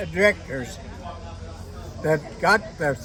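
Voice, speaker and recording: A man speaks at a very slow pace with music in the background. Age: 80s+. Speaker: harness racing horseman. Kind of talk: interview answer.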